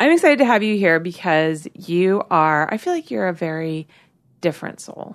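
A woman with an ordinary speaking voice, fairly low in pitch, at a moderate pace with lively intonation over a quiet background. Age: 40s. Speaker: podcast host and adult film director. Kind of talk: sponsor read and show promo; casual interview chat.

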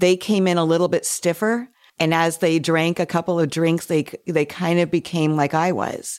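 A plain, everyday voice from a woman, fairly low in pitch, with very even loudness, fairly even intonation and a moderate pace, on a very clean recording with a silent background. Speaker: podcast host and memoir author. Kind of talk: panel discussion.

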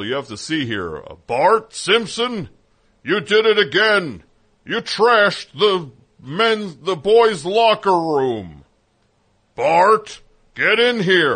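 Using a put-on character voice pitched high for a man, a man speaks at a very slow pace with long, frequent pauses over a quiet background. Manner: scolding, exasperated.

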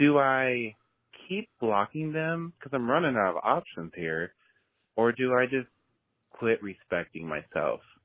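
A man at medium pitch, fairly slow pace, very wide pitch swings and long, frequent pauses. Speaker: caller. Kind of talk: voicemail message. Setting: phone call.

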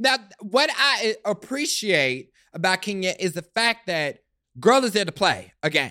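A high-pitched man with an American accent, a raised, projected voice, a bright, sharp tone, very wide pitch swings and a fairly slow pace. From Kansas City, US Midwest. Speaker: TV show personality guest. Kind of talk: casual chat.

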